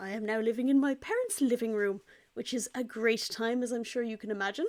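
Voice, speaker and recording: On a very clean recording with a silent background, a woman with an Irish accent talks at a very fast pace, her fairly high pitch showing ordinary pitch variation. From Ireland. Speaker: pet vlogger. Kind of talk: casual vlog update. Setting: parents' living room.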